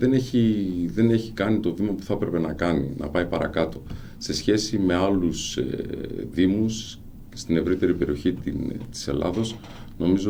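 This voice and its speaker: At a moderate pace, with long, frequent pauses, a man speaks in a very deep, low voice with a dark, mellow tone amid audible room echo. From Greece, Xanthi (Thrace). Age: 50s. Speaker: local council candidate, businessman. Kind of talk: radio interview. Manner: hesitant, frequent fillers.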